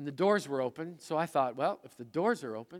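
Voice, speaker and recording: A man with an ordinary speaking voice talks at a fairly quick pace, his pitch fairly high for a man. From Manitoba, Canadian prairies. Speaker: pastor. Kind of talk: sermon. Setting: church service with congregation.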